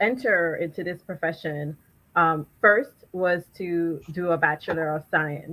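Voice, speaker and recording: Speaking with a Jamaican accent at a fairly slow pace, a woman has a fairly low voice with a bright, sharp tone. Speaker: chemist. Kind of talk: panel discussion. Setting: virtual live event.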